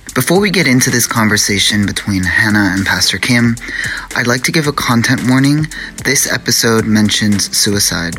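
A man's medium-pitched voice at a moderate pace, with very even loudness, ordinary pitch variation, and noticeable background noise. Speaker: podcast co-host. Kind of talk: podcast intro and outro.

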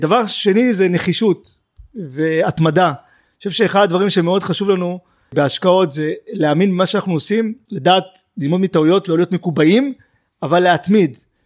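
A man speaks with a high voice. His pace is moderate. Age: 40s. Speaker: investment manager. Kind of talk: interview.

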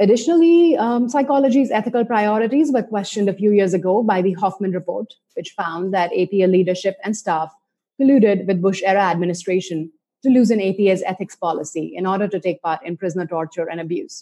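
Very fast speech from a woman, medium in pitch and ordinary in its pitch variation. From India. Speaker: psychology instructor and podcast host. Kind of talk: scripted introduction; interview.

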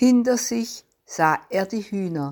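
Here a woman speaks at medium pitch in a warm, dramatic tone. Her pitch swings very widely. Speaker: devotional speaker. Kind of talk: devotional story reading aloud. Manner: dramatic, animated storytelling with expressive pauses and emphasis; warm, earnest and measured.

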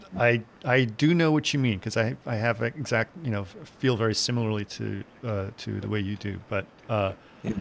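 This man has an unremarkable speaking voice and keeps to a moderate pace. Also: medium pitch for a man, ordinary pitch variation. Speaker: podcast host. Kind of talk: casual interview chat.

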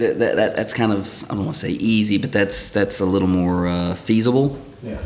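With noticeable background noise behind him, a man speaks at a fairly quick pace in a fairly low pitch with ordinary pitch variation. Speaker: distillery representative. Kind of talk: casual chat, product tasting.

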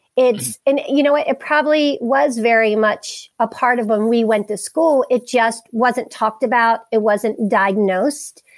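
Speaking with a Maryland accent, a woman with a fairly high pitch and ordinary pitch variation talks at a fairly slow pace, with very even loudness and hardly any pauses. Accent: Maryland American. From US Mid-Atlantic (Harford County, Maryland). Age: 40s. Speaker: wellness center founder and youth coach. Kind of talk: interview conversation.

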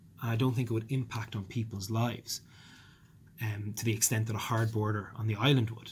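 A man talks at a very fast pace with a medium pitch, a somewhat breathy sound, flat monotone intonation and a slight Dublin accent. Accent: mild Dublin. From Ireland, South Dublin. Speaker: politician. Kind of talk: interview. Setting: office.

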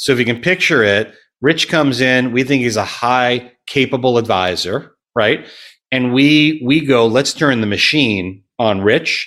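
At a fairly slow pace, a man uses a normal speaking voice with medium pitch, ordinary pitch variation and very even loudness, on a very clean recording with a silent background. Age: 40s. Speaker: wealth management firm founder. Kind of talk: casual interview.

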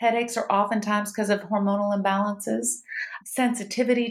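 A woman with a Mississippi accent, at a fairly quick pace. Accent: Southern US (Mississippi). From US South, Starkville, Mississippi. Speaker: doctor. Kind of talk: interview conversation.

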